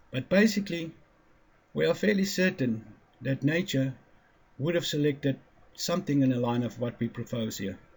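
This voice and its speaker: A man with a non-native accent talks at a moderate pace, his fairly high pitch carrying lively intonation. His voice is somewhat breathy, and he takes long, frequent pauses. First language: not English. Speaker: independent physics theorist. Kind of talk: lecture. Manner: halting, stumbling over words.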